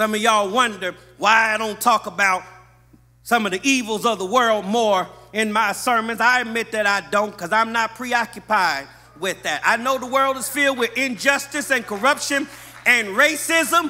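Raised and projected, a man's high-pitched voice carries an American accent at a moderate pace. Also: ordinary pitch variation. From US West Coast, Los Angeles. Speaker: pastor. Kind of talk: sermon. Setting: church. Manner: animated. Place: church. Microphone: podium.

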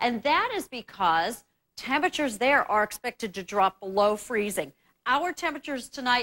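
A woman projects her voice, speaking up loudly. Her pitch swings very widely while her pace stays moderate. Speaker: TV presenter. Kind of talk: weather forecast commentary. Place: studio.

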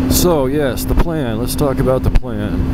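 Loud background noise fills a dry sound that has no echo. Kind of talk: casual vlog chat. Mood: relaxed, looking forward. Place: motorbike. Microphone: helmet.

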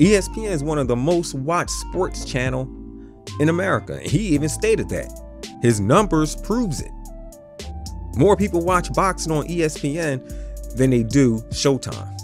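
Against clear music in the background, a man speaks at a fairly slow pace with long, frequent pauses, the sound dry with no echo. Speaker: boxing commentator. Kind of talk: commentary. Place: booth.

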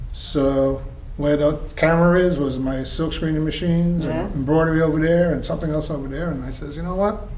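Over light background noise and audible room echo, a man speaks at a fairly quick pace with fairly even intonation. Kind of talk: interview answer, storytelling. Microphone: camera far.

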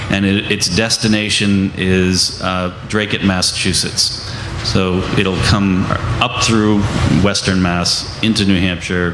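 A man speaks in a very deep, low voice with monotone, flat intonation. There is noticeable background noise. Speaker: anti-pipeline activist. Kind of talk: panel discussion. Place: tent.

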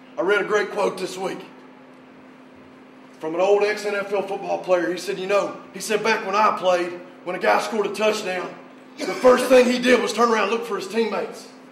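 An intense, fairly quick delivery with an American accent, fairly even intonation, long, frequent pauses and noticeable background noise. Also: man, high pitch for a man. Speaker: high school football coach. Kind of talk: pregame pep talk to players. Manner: intense, motivational, emphatic.

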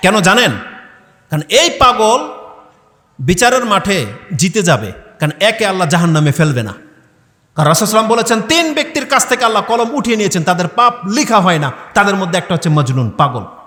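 A raised, projected voice rises and falls in very wide pitch swings. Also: man, high pitch for a man. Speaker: Islamic preacher. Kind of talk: sermon. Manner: loud.

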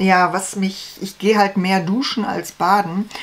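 The intonation is fairly even. The pace is fairly slow. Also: woman, medium pitch for a woman.

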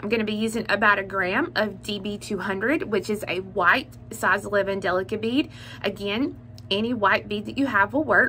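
Moderate-paced female speech with ordinary pitch variation and light background noise. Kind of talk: tutorial. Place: home room. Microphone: phone near.

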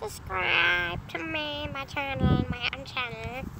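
A put-on character voice moves at a fairly slow pace. Loud background noise runs underneath.

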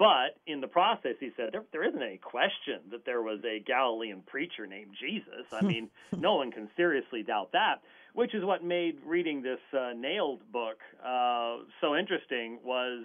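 Everything around the speaker is quiet, and the words come at a moderate speed. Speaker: guest. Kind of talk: interview answer.

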